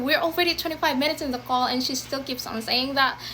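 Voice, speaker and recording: Raised and projected, a woman's voice carries at a high pitch. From Philippines. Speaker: former call center agent. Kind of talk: casual talk to camera.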